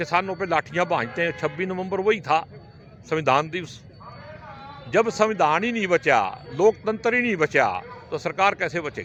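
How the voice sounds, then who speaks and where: Music plays in the background as a man speaks with a high pitch. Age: 60s. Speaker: politician. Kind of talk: interview. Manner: animated.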